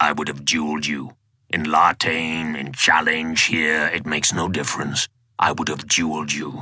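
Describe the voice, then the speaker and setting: Raspy and growling, a put-on character voice moves at a moderate pace with monotone, flat intonation. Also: man, very deep, low pitch for a man. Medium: read story. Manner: formal, archaic.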